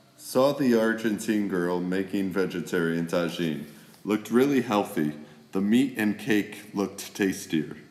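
With an American accent, a man speaks at a fairly slow pace in a fairly low pitch, with ordinary pitch variation and audible room echo. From USA. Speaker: travel vlogger. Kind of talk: casual vlog narration reading messages. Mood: amused, warm.

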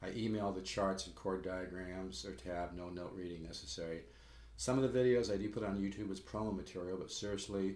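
Audible room echo surrounds a man with a very deep, low voice. He talks at a fairly quick pace with ordinary pitch variation. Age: 60s. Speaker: guitar teacher. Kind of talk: sales pitch. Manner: casual, halting. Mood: earnest, mildly salesy. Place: home room. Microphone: webcam.

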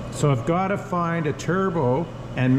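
Against noticeable background noise, a man's speech unfolds at a fairly slow pace. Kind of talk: tutorial. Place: workshop. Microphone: phone near.

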